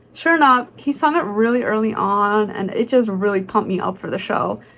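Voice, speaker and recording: A woman speaks in an animated tone at a moderate pace, her pitch fairly high, with noticeable background noise behind her. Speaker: vlogger. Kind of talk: casual vlog voiceover.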